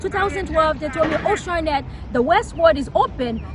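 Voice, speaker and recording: Crowd noise fills the background as a woman talks at a fairly quick pace with lively intonation. Her pitch is extremely high, and she has a Haitian accent. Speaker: local politician. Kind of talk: interview. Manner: fast.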